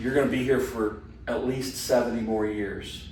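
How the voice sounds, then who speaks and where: The voice is somewhat breathy, with fairly even intonation. Audible room echo colors the recording. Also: man. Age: 60s. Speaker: Bible study teacher. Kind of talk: class discussion. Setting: church hall class.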